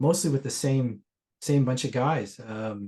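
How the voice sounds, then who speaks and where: A man with a Canadian accent speaks in a dark, mellow tone with ordinary pitch variation. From Ontario, Canada. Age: 60s. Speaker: session guitarist. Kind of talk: casual interview chat.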